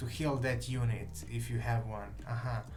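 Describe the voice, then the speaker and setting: A man with a Serbian accent talks at a fairly slow pace. Noticeable background noise and audible room echo run through the clip. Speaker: game developer. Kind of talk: live stream chat. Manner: halting.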